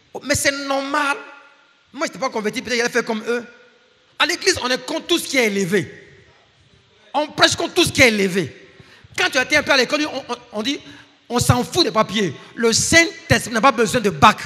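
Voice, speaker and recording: Raising and projecting an extremely high-pitched voice, a man speaks with lively intonation and long, frequent pauses. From Ivory Coast. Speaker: guest preacher and professor. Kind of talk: sermon.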